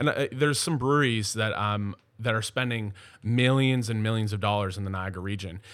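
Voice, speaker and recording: An unremarkable speaking voice from a man, fairly low in pitch, at a fairly quick pace. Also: ordinary pitch variation. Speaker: brewery general manager. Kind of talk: casual chat. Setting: office.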